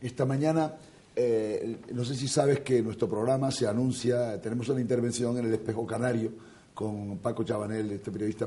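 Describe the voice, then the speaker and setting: At a moderate pace, a man speaks with a dark, mellow tone, somewhat breathy, at medium pitch with ordinary variation. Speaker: TV talk show host. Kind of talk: interview.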